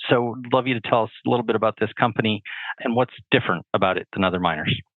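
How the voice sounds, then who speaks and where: Talking at a very fast pace with a Canadian accent, a man uses a medium pitch and ordinary pitch variation. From British Columbia, Canada. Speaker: podcast host. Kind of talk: podcast interview.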